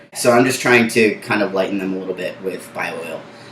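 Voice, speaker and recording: Noticeable noise fills the background as a man talks. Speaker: vlogger documenting gender transition. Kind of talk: casual vlog update. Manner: hesitant, many fillers.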